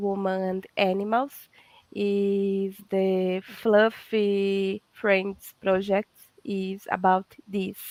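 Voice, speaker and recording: The voice carries a strong Brazilian accent. Its sound is dry and close, with no echo. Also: woman. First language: Portuguese. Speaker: veterinarian and holistic therapist. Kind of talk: casual interview chat. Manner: halting, searching for English words.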